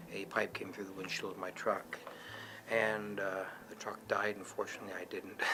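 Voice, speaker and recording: A man's fairly low, monotone, flat voice at a moderate pace over noticeable background noise. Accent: Canadian. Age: 50s. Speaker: brain injury survivor, former park warden. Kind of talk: personal testimony.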